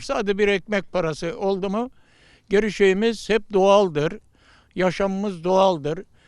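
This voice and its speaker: Against a quiet background, a man speaks at a high pitch and a fairly slow pace. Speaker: village headman. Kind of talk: street interview. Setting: outdoors.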